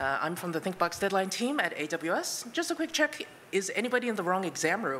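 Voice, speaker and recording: A woman speaks at a medium pitch and a moderate pace, her voice shaky. Her pitch swings very widely. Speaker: conference speaker, product manager. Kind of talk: conference talk. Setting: stage with audience. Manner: shaky voice; many filler words.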